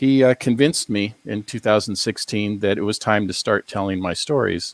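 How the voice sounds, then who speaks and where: Recorded very cleanly against a silent background, a man with an American accent and a plain, everyday voice speaks at a fairly low pitch and a moderate pace, with ordinary pitch variation and a dry, close sound with no echo. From US Pacific Northwest, Seattle. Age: 60s. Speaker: academic and paranormal author. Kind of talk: interview on a paranormal talk show.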